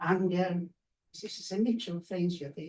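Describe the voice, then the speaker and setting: A man with a non-native accent speaks at a high pitch with fairly even intonation. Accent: foreign. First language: not English. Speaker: graphic novelist and award judge. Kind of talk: panel discussion. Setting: bookshop event with audience. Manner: halting.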